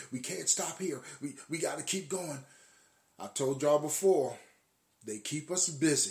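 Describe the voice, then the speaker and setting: Somewhat breathy and fairly high in pitch, a man speaks with long, frequent pauses. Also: ordinary pitch variation, fairly slow pace. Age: 50s. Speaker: podcast host. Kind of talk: casual monologue. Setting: live stream. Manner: halting.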